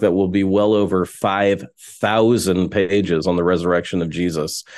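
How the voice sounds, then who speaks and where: With an American accent, a man speaks in an unremarkable speaking voice at a fairly slow pace and fairly low pitch, against a quiet background. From Texas. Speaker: pastor and New Testament scholar. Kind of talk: interview. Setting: remote call.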